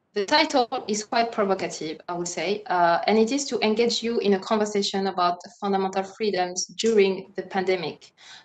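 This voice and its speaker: The pace is fairly quick. Pitch moves with ordinary variation. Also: woman, medium pitch for a woman. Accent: French. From France. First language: French. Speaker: moderator, human rights lawyer. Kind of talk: panel discussion moderation. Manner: hesitant, many fillers.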